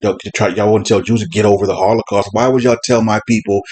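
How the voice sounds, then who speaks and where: A man speaks in an animated tone at a very fast pace. His pitch sits fairly low. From US South, South Carolina. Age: 50s. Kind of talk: casual monologue, opinion commentary. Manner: animated, repetitive false starts.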